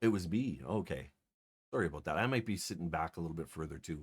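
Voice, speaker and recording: A man mumbles quietly in a very deep, low voice, with ordinary pitch variation. The recording is very clean, with a silent background. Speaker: streamer. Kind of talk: casual chat. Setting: live stream. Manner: quiet, mumbling.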